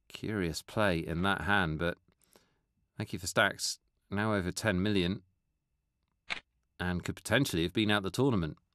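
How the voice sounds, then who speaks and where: The sound is dry and close with no echo, over a quiet background. A man with a very deep, low pitch speaks at a moderate pace, leaving long, frequent pauses. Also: ordinary pitch variation. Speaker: poker commentator. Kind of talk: live commentary.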